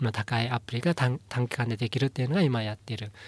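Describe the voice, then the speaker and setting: A somewhat breathy voice in a dry, close sound with no echo. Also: man. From Inner Mongolia, China. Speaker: company founder. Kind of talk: interview. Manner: halting, many fillers.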